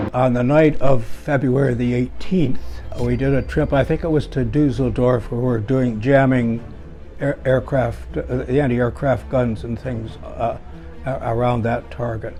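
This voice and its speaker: A man talks fairly slowly while music plays in the background. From Toronto, Canada. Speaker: war veteran. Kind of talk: interview answer.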